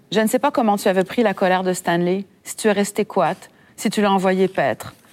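Here is a woman with an ordinary speaking voice. Her medium pitch shows ordinary variation. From Quebec, Saguenay. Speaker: author. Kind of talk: reading aloud. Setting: library event with audience.

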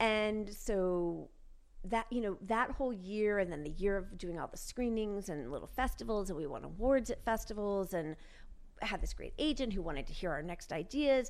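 A woman with an American accent has an ordinary speaking voice at a medium pitch. She speaks at a moderate pace with lively intonation. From New York. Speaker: actress. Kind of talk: casual chat.

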